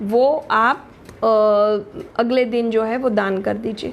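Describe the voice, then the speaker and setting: A woman's voice in a monotone, flat intonation. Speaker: astrologer and tarot reader. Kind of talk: live stream talk. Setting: live stream. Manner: halting.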